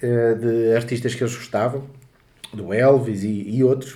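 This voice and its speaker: The speech moves at a fairly slow pace with a European Portuguese accent. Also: man. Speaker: podcast host. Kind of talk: casual chat.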